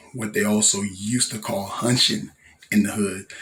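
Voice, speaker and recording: Audible room echo surrounds this voice. A man speaks with a fairly low pitch. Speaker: rapper and local artist. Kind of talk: casual vlog monologue. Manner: halting, many fillers.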